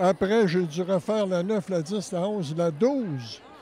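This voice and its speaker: A man speaks at a very slow pace, his voice pitched high with ordinary pitch variation. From Quebec City area. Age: 60s. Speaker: painter, former art teacher. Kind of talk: interview. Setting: event venue. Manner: halting.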